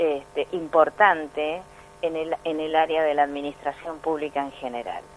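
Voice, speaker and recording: With a very deep, low pitch, a woman speaks with fairly even intonation. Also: moderate pace. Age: 60s. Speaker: pension and social security expert. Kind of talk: radio interview.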